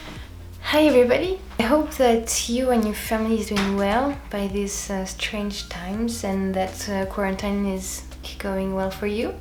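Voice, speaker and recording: A woman with a French accent at a fairly slow pace, hardly any pauses, noticeable background noise and audible room echo. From France. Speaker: DIY video creator. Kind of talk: tutorial. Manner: halting, searching for English words; casual.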